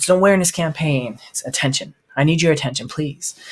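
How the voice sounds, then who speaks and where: At a fairly quick pace, a man is talking. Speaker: podcast host, sales coach. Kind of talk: motivational podcast monologue. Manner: fast; animated.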